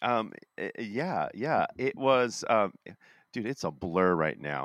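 Lively intonation comes through in a dry, close recording with no echo, very clean with a silent background. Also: man. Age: 40s. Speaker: pastor and podcast co-host. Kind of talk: casual chat. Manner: animated.

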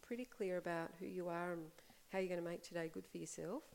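In an Australian accent, a woman speaks at a medium pitch. Her tone is calm. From Australia, Melbourne. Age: 40s. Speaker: life coach. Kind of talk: interview conversation.

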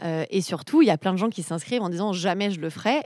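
Speech rushes by at a very fast pace with ordinary pitch variation. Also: woman. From eastern France, Ain. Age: 30s. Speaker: civic organizer. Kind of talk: interview.

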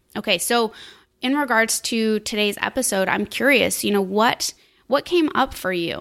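With a normal speaking voice, a woman at a fairly high pitch uses lively intonation at a moderate pace on a very clean recording with a silent background. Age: 30s. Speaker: podcast host, business coach and wellness mentor. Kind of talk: solo podcast monologue. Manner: casual, upbeat.

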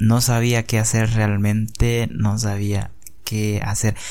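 This man has a fairly low pitch and a dark, mellow tone. He speaks at a very slow pace with monotone, flat intonation. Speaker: podcaster. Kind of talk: personal storytelling.

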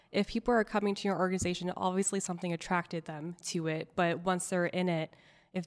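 On a very clean recording with a silent background, a woman with a plain, everyday voice talks at a fairly quick pace, medium pitch and fairly even intonation. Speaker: local government employee. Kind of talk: casual chat.

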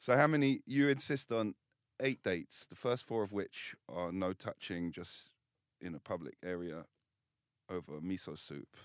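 Recorded very cleanly with a silent background and a dry, close sound with no echo, a man with a fairly low voice speaks at a moderate pace with very wide pitch swings. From England. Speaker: podcast co-host. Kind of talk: casual chat.

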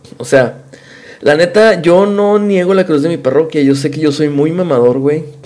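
The man's voice sits fairly high, moving in pitch in an ordinary way at a medium tempo, with noticeable noise in the background. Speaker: podcast host. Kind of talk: casual chat. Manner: animated.

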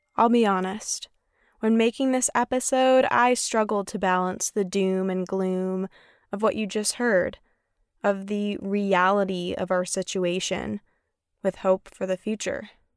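A woman with a plain, everyday voice speaks at a medium pitch and a fairly slow pace, her intonation fairly even. The sound is dry and close with no echo, on a very clean recording with a silent background. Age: 20s. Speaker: podcast producer and host. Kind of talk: scripted narration.

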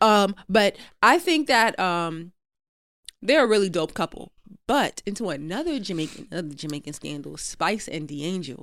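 In a very clean recording with a silent background, a woman speaks at medium pitch and a moderate pace. Her pitch swings very widely and her loudness rises and falls sharply. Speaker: podcast co-host. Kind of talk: casual chat.

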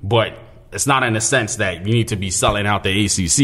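This man talks at a very fast pace, keeping a fairly low pitch and fairly even intonation. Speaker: rapper. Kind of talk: casual interview. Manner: casual, slangy.

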